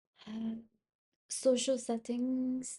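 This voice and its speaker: A woman speaks in a dark, mellow tone with fairly even intonation. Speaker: self-help vlogger. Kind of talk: personal reflective monologue. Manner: halting, many fillers; higher pitch with new people, neutral tone when comfortable.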